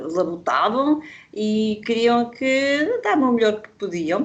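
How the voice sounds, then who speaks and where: A woman at a very slow pace, fairly high in pitch, with lively intonation. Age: 60s. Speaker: workshop participant. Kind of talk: casual chat. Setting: video call.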